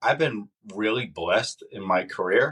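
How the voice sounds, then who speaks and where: A man talks with a slight northern US accent. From Massachusetts. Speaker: former sheriff's deputy and candidate for sheriff. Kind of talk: podcast interview.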